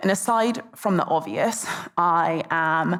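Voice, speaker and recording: With a British accent, a woman speaks at a fairly low pitch. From England, London. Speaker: conference speaker, tech sales and marketing professional. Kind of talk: conference talk.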